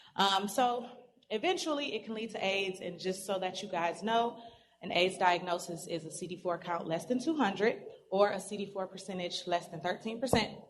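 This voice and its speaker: Room echo is clearly audible around this woman's voice. Her pitch rises and falls in an ordinary way. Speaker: pharmacy presenter. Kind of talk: lecture. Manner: fast.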